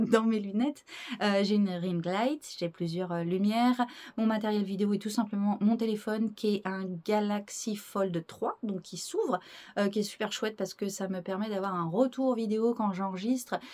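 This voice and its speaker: A dark, mellow tone moves at a moderate pace with fairly even intonation. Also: woman, medium pitch for a woman. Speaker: YouTuber presenting strange places. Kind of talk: casual vlog to camera. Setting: wooden cabin chalet. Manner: hesitant, many fillers.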